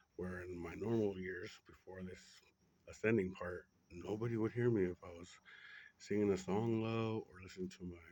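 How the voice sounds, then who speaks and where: Someone whispers at a moderate pace, with long, frequent pauses. The loudness swings widely. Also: man. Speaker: spiritual monologue vlogger. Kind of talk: personal spiritual monologue. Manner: whispering; rambling, halting with fillers.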